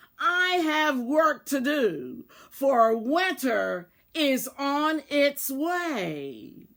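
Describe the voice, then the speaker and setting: A woman puts on a growling, high-pitched character voice and speaks at a very slow pace. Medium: read story. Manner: stern, solemn.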